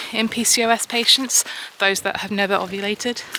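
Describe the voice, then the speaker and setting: Monotone, flat intonation comes at a moderate pace over noticeable background noise. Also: woman. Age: 30s. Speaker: vlogger. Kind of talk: casual vlog monologue. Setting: outdoors, walking.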